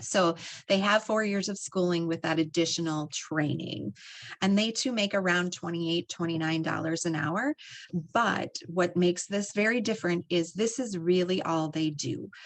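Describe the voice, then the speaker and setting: With an American accent, a woman has an ordinary speaking voice at fairly low pitch. She speaks at a moderate pace with ordinary pitch variation. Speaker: health education program director. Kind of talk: educational presentation to students.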